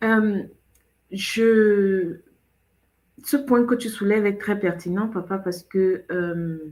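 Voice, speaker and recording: A woman of medium pitch talks very slowly. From Cameroon. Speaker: show host. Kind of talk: casual chat.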